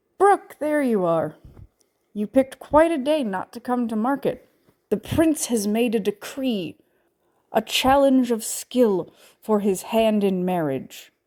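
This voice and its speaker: A put-on character voice moves at a fairly slow pace with very wide pitch swings. The sound is dry and close, with no echo. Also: woman, fairly high pitch for a woman. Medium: read story. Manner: hearty, dramatic.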